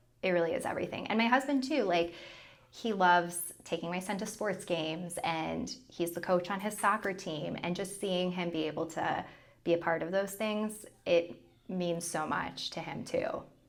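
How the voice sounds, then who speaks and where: A woman speaks at a moderate pace and a medium pitch, with ordinary pitch variation and audible room echo. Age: 30s. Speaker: former TV meteorologist turned content creator. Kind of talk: casual chat.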